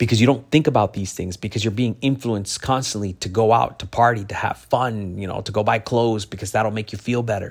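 A man speaks at a fairly low pitch with a somewhat breathy voice. He barely pauses at all. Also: fairly even intonation. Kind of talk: motivational speech. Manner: earnest, direct, encouraging, with preacherly warmth; conversational, repetitive, with stumbles and self-corrections.

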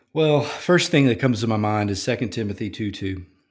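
In a very clean recording with a silent background, a man with a Louisiana accent speaks at a moderate pace and a fairly low pitch. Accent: Louisiana Southern US. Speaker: college campus minister. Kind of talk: casual interview.

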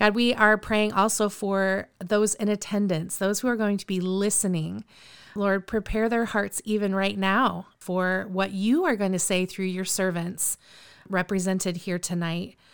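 A woman speaks fairly slowly at a medium pitch, her tone enthusiastic. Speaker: podcast host. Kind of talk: casual group interview and prayer. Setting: video call.

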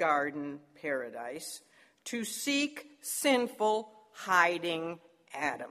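A woman's voice swings very widely in pitch. The recording is very clean, with a silent background. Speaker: Bible teacher. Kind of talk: Bible lesson.

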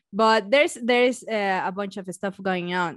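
Recorded dry and close with no echo over a quiet background, a woman with a Mexican accent speaks at a medium pitch with lively intonation. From Mexico. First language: Spanish. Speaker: science YouTuber and biologist. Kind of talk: casual interview chat. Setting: video call remote podcast.

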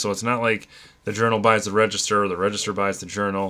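With a bright, sharp tone, a man speaks at a fairly low pitch with fairly even intonation. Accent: American. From northern Illinois. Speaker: podcast host. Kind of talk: casual chat.

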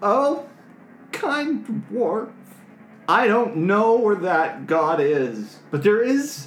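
A put-on character voice, pitched fairly high and delivered at a very slow pace. Long pauses come often, and background noise is clearly audible. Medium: actual play. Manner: meek, fawning, speaks of itself by name.

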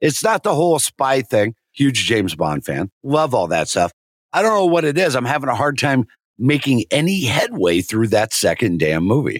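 Very clean and set against a silent background, the recording has a man with an American accent at a medium pitch. His voice shows vocal fry and very wide pitch swings. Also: moderate pace. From rural Nebraska, US. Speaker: Marine veteran, fill-in co-host. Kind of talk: casual chat.

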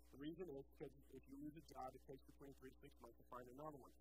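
Audible room echo surrounds a man's speech. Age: 40s. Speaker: pastor. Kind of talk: sermon.

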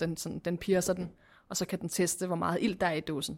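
In a very clean recording with a silent background, a woman uses a plain, everyday voice, fairly low in pitch and with fairly even intonation. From Copenhagen, Denmark (Christianshavn). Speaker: craft brewer. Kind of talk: casual interview.

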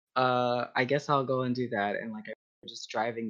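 At a moderate pace, a man with an American accent talks at medium pitch in an ordinary speaking voice. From Texas. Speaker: community organizer. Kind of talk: casual interview.

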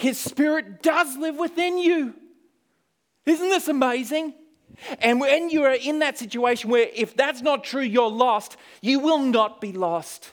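With lively intonation, a man speaks in an extremely high voice with an Australian accent. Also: fairly slow pace. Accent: Australian, noticeable. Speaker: missionary. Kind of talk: sermon. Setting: church.

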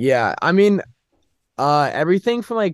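A man with an American accent uses a normal speaking voice at a moderate pace with ordinary pitch variation, in a dry, close sound with no echo and a quiet background. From US, Northern Virginia. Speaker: college student athlete. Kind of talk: casual chat.

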